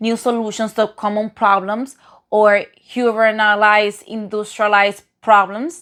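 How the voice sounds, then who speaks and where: A woman with a non-native accent, fairly high in pitch, at a fairly slow pace with monotone, flat intonation, in a very clean recording with a silent background. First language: non-native English speaker. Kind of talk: casual commentary to camera.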